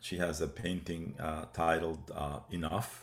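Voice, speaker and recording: Man with an Arabic accent and a very deep, low pitch. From West Bank, Palestine. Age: 70s. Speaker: museum founder and director. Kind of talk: interview. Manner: hesitant, many fillers.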